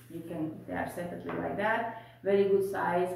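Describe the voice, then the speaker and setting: Heard through strong room echo, a woman talks at a moderate pace with ordinary pitch variation. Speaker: home haul vlogger. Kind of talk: casual vlog chat. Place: home room. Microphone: camera far.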